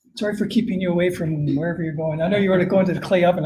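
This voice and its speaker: Ordinary pitch variation in a Canadian accent, with audible room echo. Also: man. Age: 60s. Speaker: climate scientist. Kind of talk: conference Q&A.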